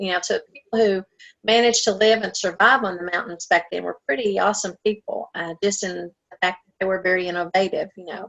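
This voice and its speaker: A woman speaks in an Appalachian accent at a fairly quick pace. Her intonation stays fairly even. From Appalachia, US. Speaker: novelist and writers conference director. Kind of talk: interview. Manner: hesitant, many fillers.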